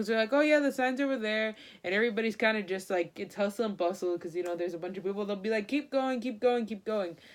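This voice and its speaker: A woman's speech, varying in pitch in an ordinary way, comes on a very clean recording with a silent background. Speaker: vlogger. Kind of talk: casual vlog review. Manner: fast; animated.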